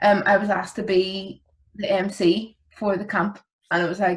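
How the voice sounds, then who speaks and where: A woman's somewhat breathy voice stays monotone with flat intonation. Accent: Belfast. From Northern Ireland, West Belfast; Northern Ireland. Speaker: youth work alumna; podcast guest. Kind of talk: casual interview. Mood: warm, reflective, laughing. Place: home room. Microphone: video call.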